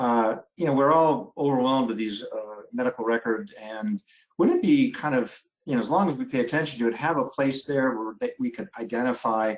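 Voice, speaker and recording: A man with a normal speaking voice talks at a medium pitch. His pace is fairly quick and his intonation lively. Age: 60s. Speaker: family physician, webinar moderator. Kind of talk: webinar panel discussion.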